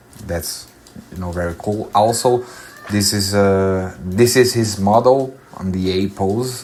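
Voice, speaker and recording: A man with a Brazilian accent and a fairly low pitch talks at a very slow pace. There is audible room echo and noticeable background noise. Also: ordinary pitch variation. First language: Portuguese. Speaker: 3D character artist. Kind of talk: tutorial. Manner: halting, many fillers.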